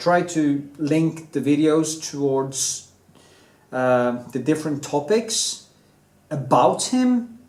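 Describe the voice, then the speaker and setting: Audible room echo surrounds a man talking at a fairly high pitch. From Norway. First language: Norwegian. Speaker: artist and painter, video blogger. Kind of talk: opinion monologue, rant. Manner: casual, hesitant with many fillers.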